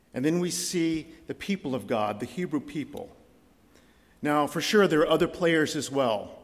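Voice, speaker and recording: A man speaks in a fairly high voice with vocal fry. His intonation is lively. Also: moderate pace. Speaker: visiting preacher. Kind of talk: sermon. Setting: church.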